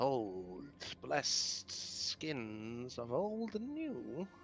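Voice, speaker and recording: A man's put-on character voice at medium pitch, very slow in pace, over clear background noise. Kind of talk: ancient magic incantation. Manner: muttering.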